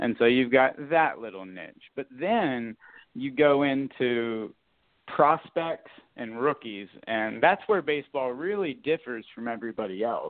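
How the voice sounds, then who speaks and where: This man has a plain, everyday voice at a medium pitch, speaking fairly slowly with lively intonation and big swings in loudness. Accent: American. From US South, South Florida. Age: 30s. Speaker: podcast host, card collector. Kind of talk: casual interview chat. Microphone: connection cut out.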